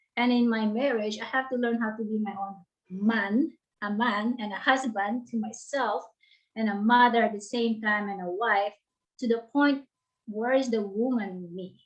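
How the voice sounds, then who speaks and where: The speaker has a Filipino accent, a somewhat breathy voice and fairly even intonation, and talks at a moderate pace. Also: woman, fairly high pitch for a woman. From Philippines. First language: Tagalog. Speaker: author and life coach. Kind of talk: interview. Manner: halting.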